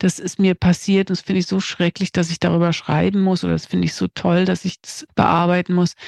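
Her pitch fairly low and her intonation monotone and flat, a woman talks at a fairly quick pace with hardly any pauses, in a dry, close sound with no echo on a very clean recording with a silent background. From East Germany. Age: 50s. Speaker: screenwriter. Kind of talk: interview.

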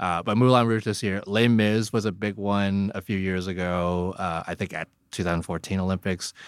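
A man with an American accent talks at a moderate pace in an unremarkable speaking voice, fairly low for a man, with fairly even intonation and hardly any pauses. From Hong Kong. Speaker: figure skating blogger. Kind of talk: casual interview.

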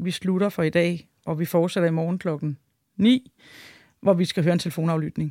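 A woman speaks at a moderate pace with fairly even intonation, her voice fairly low and dark and mellow in tone. The sound is dry and close with no echo, on a very clean recording with a silent background. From Denmark. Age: 40s. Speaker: wife of a biker gang member. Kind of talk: interview. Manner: hesitant, many filler sounds.

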